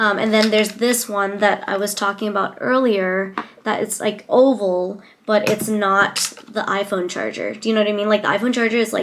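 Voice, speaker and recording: A woman at a medium pitch and a moderate pace, over noticeable background noise. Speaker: lifestyle and beauty vlogger. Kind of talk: casual product review. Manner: animated.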